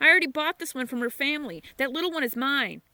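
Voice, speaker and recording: Using a put-on character voice, a woman speaks high and very fast in a raised, projected voice, the sound dry and close with no echo. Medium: read story. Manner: gloating.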